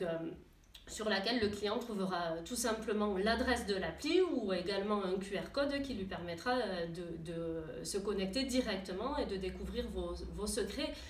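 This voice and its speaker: Medium-pitched female voice, moderately paced and lively in intonation, amid noticeable background noise. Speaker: tourism association staff member presenting a new web app to gîte owners. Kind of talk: corporate presentation to camera, informal explanatory talk. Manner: conversational, many hesitations and fillers.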